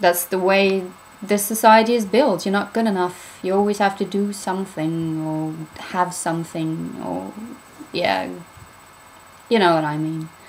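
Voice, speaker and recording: A woman talks at a fairly slow pace with long, frequent pauses. Her pitch is medium, with ordinary variation. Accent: British. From Norway. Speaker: spiritual vlogger. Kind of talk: casual vlog talk. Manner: casual, hesitant with fillers.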